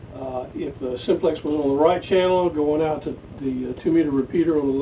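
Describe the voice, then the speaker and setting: Over light background noise, a man speaks at a fairly quick pace with fairly even intonation. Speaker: ham radio operator. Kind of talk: radio contact chat. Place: home room. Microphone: camera far.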